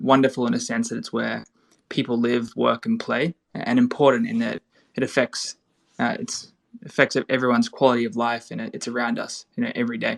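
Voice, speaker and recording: With an Australian accent, the speaker moves at a fairly quick pace in a dry, close sound with no echo. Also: man. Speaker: real estate tokenization startup founder. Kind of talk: panel podcast discussion.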